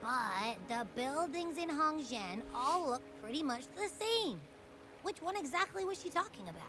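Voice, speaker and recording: Using a put-on character voice at a high pitch, a woman talks at a moderate pace over clear background noise. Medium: video game. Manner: casual, chatty.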